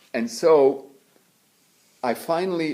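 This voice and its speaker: A man speaks with lively intonation in a room with audible echo. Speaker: religious brother and lecturer. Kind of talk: lecture. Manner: halting.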